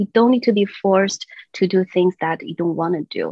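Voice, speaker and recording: In a Chinese accent, a woman with medium pitch speaks at a moderate pace. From China, moved to US at 15. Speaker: children's songwriter and voice teacher. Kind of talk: interview chat. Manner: halting, many fillers.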